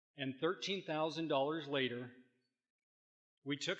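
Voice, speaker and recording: Intonation remains fairly even. The tone comes across bright and sharp. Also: man. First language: Spanish. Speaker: community leader, small business owner. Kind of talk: prepared speech. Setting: luncheon event with audience.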